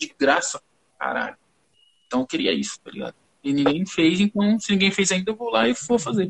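The delivery is fairly quick. Long pauses come often. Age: 20s. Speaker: music producer. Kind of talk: casual chat.

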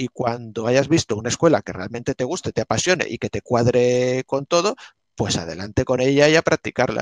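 At a moderate pace, a man with a medium pitch and lively intonation speaks in a dry, close sound with no echo. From Spain, Alicante (Benissa). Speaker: art historian and martial arts teacher. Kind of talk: interview. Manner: halting.

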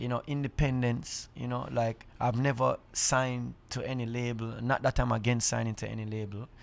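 In a Jamaican accent, a man speaks at a moderate pace and medium pitch with monotone, flat intonation and hardly any pauses. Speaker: reggae artist. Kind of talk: casual chat. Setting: green room backstage on tour.

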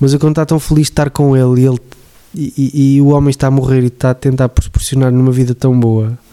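Dry and close with no echo, the voice has a dark, mellow tone and flat, monotone intonation, moving at a very fast pace with very even loudness. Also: man, medium pitch for a man. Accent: European Portuguese. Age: 30s. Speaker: podcast host. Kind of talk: casual chat.

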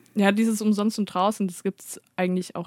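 A woman's monotone, flat delivery in a dry, close sound with no echo, very cleanly recorded against a silent background. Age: 20s. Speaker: radio intern, student. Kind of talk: casual chat.

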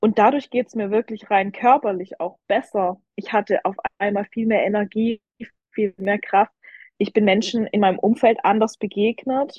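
A woman with an unremarkable speaking voice talks at a moderate pace, her fairly high pitch held in fairly even intonation. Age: 20s. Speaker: professional figure athlete. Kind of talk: casual interview.

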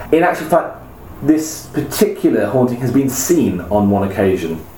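A man talks at a moderate pace with an English accent. Noticeable background noise runs underneath. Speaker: podcast host. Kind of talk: casual chat. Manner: jokey.

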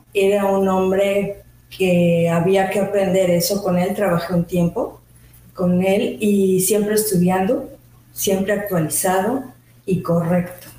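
Speaking at a very slow pace, a woman keeps a medium pitch, fairly even intonation and very even loudness, with audible room echo. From Mexico City. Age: 50s. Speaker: labor lawyer and business owner. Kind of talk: interview. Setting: studio.

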